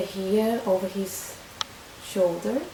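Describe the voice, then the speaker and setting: Speaking very slowly with a Portuguese accent, a woman at medium pitch is heard over noticeable background noise with audible room echo. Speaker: vlogger. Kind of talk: personal testimony. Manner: halting, many fillers and restarts.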